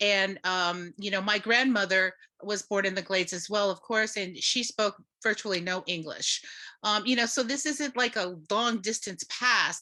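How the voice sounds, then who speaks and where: A woman's medium-pitched voice with an American accent, a bright, sharp tone, ordinary pitch variation and a moderate pace. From Florida, Seminole reservation. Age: 50s. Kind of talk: panel discussion. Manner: halting, many fillers.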